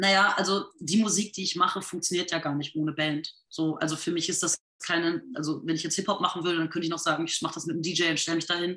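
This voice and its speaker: A woman speaks very fast in a fairly low pitch, with hardly any pauses. Her intonation stays monotone and flat. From rural Lower Saxony, northern Germany. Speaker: singer and musician. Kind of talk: interview.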